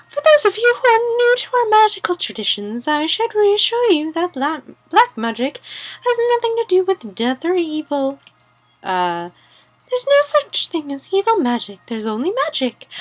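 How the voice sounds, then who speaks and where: A woman's squeaky, put-on character voice, extremely high in pitch with very wide pitch swings, at a moderate pace. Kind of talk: classroom lecture. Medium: game stream.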